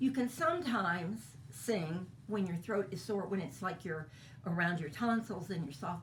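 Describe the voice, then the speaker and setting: A woman speaks in a fairly low, somewhat breathy voice with lively intonation. There is audible echo from the room. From Kentucky. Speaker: voice teacher. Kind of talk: lecture.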